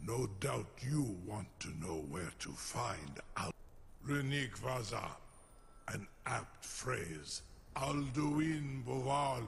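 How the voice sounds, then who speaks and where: Against clear background noise, a man does a put-on character voice at medium pitch and a very slow pace. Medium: video game. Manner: slow, measured, imperious.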